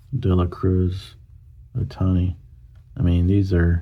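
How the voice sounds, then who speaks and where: Speaking with an American accent, a man has a very deep, low pitch and a dark, mellow tone. His delivery is somewhat breathy, with fairly even intonation. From US South. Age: 40s. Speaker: YouTuber, card collector. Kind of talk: casual commentary, card opening. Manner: hesitant, many fillers.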